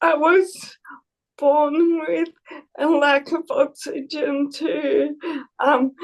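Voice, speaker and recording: The speaker goes at a very slow pace, with long, frequent pauses and ordinary pitch variation. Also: woman. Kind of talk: panel interview.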